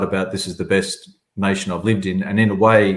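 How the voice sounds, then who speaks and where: Speaking with an Australian accent, a man keeps a moderate pace. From southern Australia. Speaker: agency chief executive. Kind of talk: webinar panel discussion.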